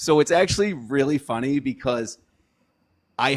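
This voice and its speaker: With lively intonation, a plain, everyday voice comes through in a very clean recording with a silent background. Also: man. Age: 40s. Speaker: political candidate. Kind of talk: casual interview. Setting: livestream.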